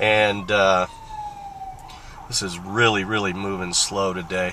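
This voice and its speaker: A man's fairly slow, fairly evenly intoned speech plays over noticeable background noise. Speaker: sports bettor and handicapper. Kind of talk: casual narration while driving. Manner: rambling with many fillers.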